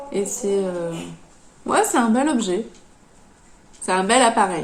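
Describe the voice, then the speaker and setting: Woman at a very slow pace with lively intonation and long, frequent pauses, audible room echo and noticeable background noise. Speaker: knitting podcaster. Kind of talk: casual podcast monologue. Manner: halting, many hesitations.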